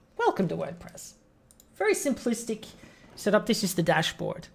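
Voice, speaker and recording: A somewhat breathy woman at a moderate pace. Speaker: web design business owner teaching a webinar. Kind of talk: tutorial. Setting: live stream screen-share webinar. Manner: casual, conversational. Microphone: audio checked as good.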